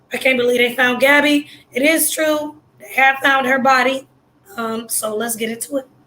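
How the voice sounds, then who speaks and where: A woman with a high pitch uses a raised, projected voice with big swings in loudness. Her intonation stays monotone and flat. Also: moderate pace. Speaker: YouTuber commentator. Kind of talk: casual vlog commentary.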